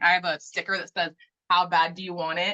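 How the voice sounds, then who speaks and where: A woman talks loudly at a fairly quick pace, her pitch medium. The sound is dry and close, with no echo. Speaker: author. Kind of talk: casual chat. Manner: fast.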